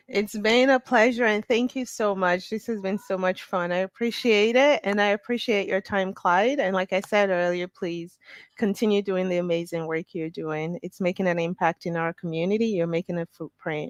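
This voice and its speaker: Medium pitch from a woman at a moderate pace, with ordinary pitch variation, hardly any pauses, and a dry, close sound with no echo. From Canada. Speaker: researcher and business executive. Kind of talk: interview.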